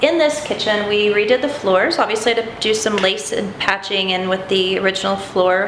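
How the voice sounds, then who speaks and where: A woman at a fairly quick pace with ordinary pitch variation, audible room echo and light background noise. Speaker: renovation contractor. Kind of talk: home tour explanation. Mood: relaxed, proud. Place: kitchen.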